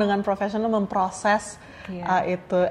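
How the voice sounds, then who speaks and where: Medium pitch and some breathiness in a woman's voice. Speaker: podcast host. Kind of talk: casual podcast conversation.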